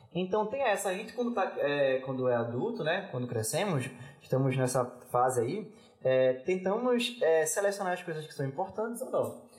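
A man with a high voice makes very wide pitch swings amid audible room echo and noticeable background noise. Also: moderate pace. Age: 20s. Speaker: philosophy student and teacher. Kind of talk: casual chat. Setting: studio.

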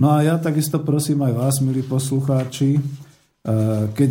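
There is a dark, mellow tone to this somewhat breathy man's voice, which moves at a moderate pace with ordinary pitch variation. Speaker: radio host. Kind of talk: radio talk show. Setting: studio.

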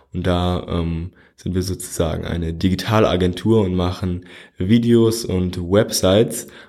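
On a very clean recording with a silent background, a man with a very deep, low pitch and a dark, mellow tone speaks with fairly even intonation. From Germany, Frankfurt. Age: 20s. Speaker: podcast host. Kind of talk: solo podcast monologue. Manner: casual, with frequent fillers.

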